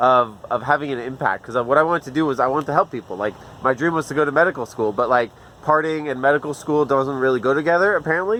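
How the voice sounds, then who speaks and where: Speaking at a very fast pace, a man with an American accent uses a fairly high pitch. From mixed: Middle East and US Northeast. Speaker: farmer. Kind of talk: casual chat. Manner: casual, animated.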